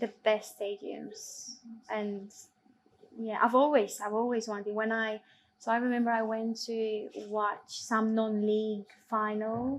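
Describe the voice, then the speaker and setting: A woman speaks in a monotone with flat intonation and a fairly high pitch. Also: fairly slow pace. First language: not English. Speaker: football assistant referee. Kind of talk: Q&A interview.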